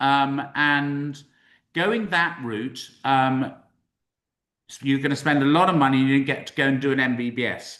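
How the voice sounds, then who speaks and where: Against a quiet background, a man with a British accent and a fairly high pitch uses a bright, sharp tone, leaving long, frequent pauses. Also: ordinary pitch variation, fairly slow pace. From UK. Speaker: university representative. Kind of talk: webinar presentation. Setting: live-streamed webinar. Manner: casual, upbeat.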